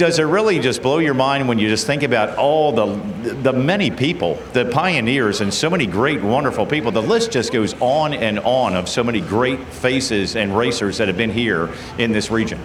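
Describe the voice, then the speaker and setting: A man with an American accent speaks at medium pitch and a moderate pace, with lively intonation and very even loudness, amid audible room echo and noticeable background noise. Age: 60s. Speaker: race track announcer. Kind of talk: PA interview at race track.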